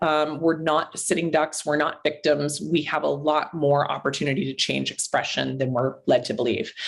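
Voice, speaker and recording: A woman's very deep, low-pitched voice with vocal fry. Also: hardly any pauses. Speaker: naturopathic doctor. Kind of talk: interview. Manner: fast.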